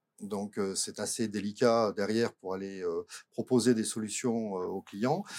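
In a dark, mellow tone, a man speaks at a moderate pace with ordinary pitch variation, the sound dry and close with no echo. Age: 50s. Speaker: company director. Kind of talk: casual chat. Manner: halting.

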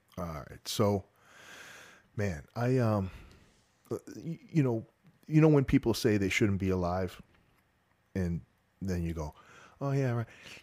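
A man with a Boston accent speaks at a fairly slow pace, his fairly low pitch and dark, mellow tone shaped by lively intonation. Long, frequent pauses break up his speech on a very clean recording with a silent background. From Boston North Shore, Massachusetts. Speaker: retired sheriff's officer, author and speaker. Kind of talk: interview.

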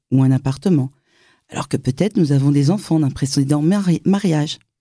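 A woman speaks at a moderate pace with very deep, low pitch. Her tone is dark and mellow, and her intonation is lively. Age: 50s. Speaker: podcast host. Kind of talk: interview.

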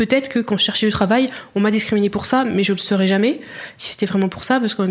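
Fairly high pitch from a woman, with ordinary pitch variation. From France, Burgundy (Auxerre). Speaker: blogger. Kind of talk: interview. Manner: hesitant, many fillers.

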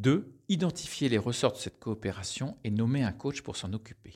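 A man speaks at a moderate pace and medium pitch, sounding somewhat breathy, in a very clean recording with a silent background. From France. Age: middle-aged. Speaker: business team coach. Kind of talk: scripted narration.

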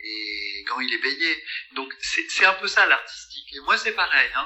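With noticeable noise in the background, a man speaks at a fairly slow rate. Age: 60s. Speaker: dentist and comic artist. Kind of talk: casual chat.

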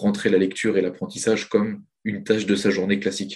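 A man with a plain, everyday voice speaks at a fairly low pitch. The background is quiet. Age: 20s. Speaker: trader and trading coach. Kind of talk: interview.

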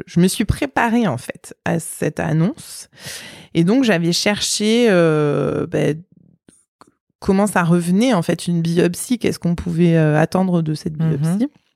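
With a fairly low pitch, a woman speaks at a fairly slow pace. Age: 30s. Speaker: mother of eight, cancer survivor. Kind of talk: interview testimony. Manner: hesitant, many fillers.

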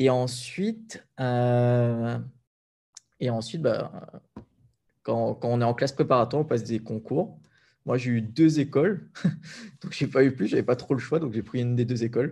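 A man at a medium pitch, fairly slow, with long, frequent pauses and ordinary pitch variation. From Réunion (Sainte-Anne). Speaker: entrepreneur and property investor. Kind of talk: interview.

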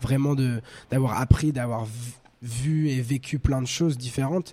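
Against a silent background in a very clean recording, a man speaks with a dark, mellow tone and fairly even intonation. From France, north, raised abroad (China, India, Germany, Spain). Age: 20s. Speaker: rapper. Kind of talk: interview.

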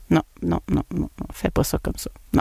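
In a very clean recording with a silent background and a dry, close sound with no echo, a woman speaks at a fairly slow pace. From Quebec. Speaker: podcast host and marketing entrepreneur. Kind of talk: casual monologue podcast. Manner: animated.

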